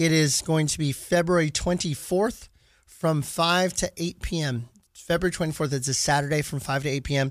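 In a very clean recording with a silent background, a man with a normal speaking voice talks at a moderate pace, fairly high pitch, and fairly even intonation. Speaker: radio host, sports card store owner. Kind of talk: sports radio chat. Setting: studio.

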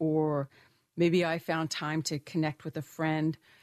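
This woman has a plain, everyday voice, fairly low in pitch, speaking at a fairly slow pace in a dry, close sound with no echo against a quiet background. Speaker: financial firm founder and wellness expert. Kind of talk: casual chat. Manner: warm, chatty, friendly.

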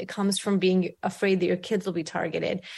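In a New York accent, a woman speaks at a medium pitch with fairly even intonation. The recording is very clean, with a silent background. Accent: New York American English. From grew up in Brooklyn, New York, immigrant. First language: not English. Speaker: author and newspaper columnist. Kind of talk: interview.

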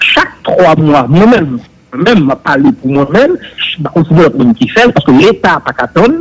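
This man's voice sits fairly high and swings very widely in pitch. He talks at a moderate pace over noticeable background noise. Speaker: public official on investigative body. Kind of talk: political talk show discussion.

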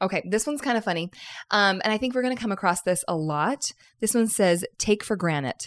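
On a very clean recording with a silent background, a woman with an unremarkable speaking voice talks at a fairly quick pace, medium in pitch with lively intonation. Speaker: podcast host. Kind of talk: casual chat.

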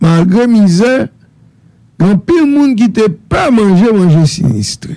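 A man's high voice with a dark, mellow tone, very wide pitch swings, very even loudness, a fairly slow pace and long, frequent pauses. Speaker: radio talk show host. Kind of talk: radio call-in talk show.

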